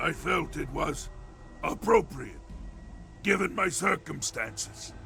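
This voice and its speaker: A man puts on a character voice and speaks at a fairly slow pace, with background noise clearly audible. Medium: video game. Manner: articulate, measured, erudite.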